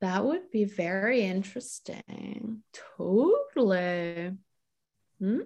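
A woman with a Montreal accent and a medium pitch speaks at a very slow pace with long, frequent pauses and ordinary pitch variation. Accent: Montreal English (Canadian). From Montreal, Quebec, Canada. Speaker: novelist. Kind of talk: interview. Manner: hesitant, many fillers.

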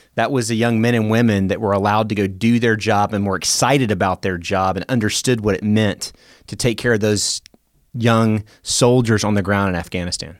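A man with an American accent and an ordinary speaking voice talks at a fairly quick pace and fairly low pitch with fairly even intonation, on a very clean recording with a silent background. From US South, Memphis, Tennessee. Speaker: retired air force officer and leadership consultant. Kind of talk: interview conversation. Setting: studio.

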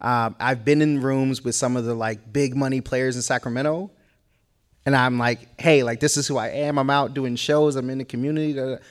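A man with an American accent has a normal speaking voice at medium pitch, with fairly even intonation and a fairly quick pace. The recording is very clean, with a silent background. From Boston. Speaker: hip hop artist. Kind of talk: panel discussion.

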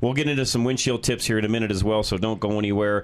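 The man's pitch is fairly low. He talks at a very fast pace. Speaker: car talk radio host and former auto shop owner. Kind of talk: call-in radio show. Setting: radio studio. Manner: loud.

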